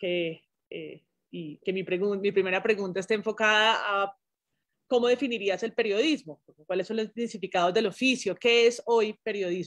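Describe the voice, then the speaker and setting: A woman talks at a moderate pace with medium pitch and ordinary pitch variation. It is a normal speaking voice over a quiet background. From Colombia. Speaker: journalism professor. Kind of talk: interview conversation. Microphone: video call.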